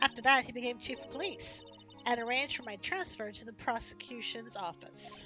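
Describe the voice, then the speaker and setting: Over clear music in the background, a woman uses a high-pitched, put-on character voice with lively intonation at a fairly quick pace. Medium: game stream. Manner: calm, measured, restrained.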